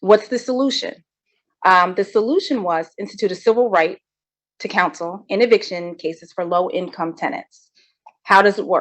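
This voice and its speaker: This woman's voice sits at a medium pitch with ordinary pitch variation. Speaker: legal trainer. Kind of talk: legal training lecture. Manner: fast.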